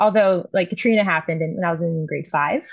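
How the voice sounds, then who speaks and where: Over a quiet background, a woman with an American accent speaks somewhat breathily at a fairly low pitch with ordinary pitch variation. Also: dry, close sound with no echo. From US South, New Orleans. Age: 20s. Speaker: artist. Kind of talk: casual chat.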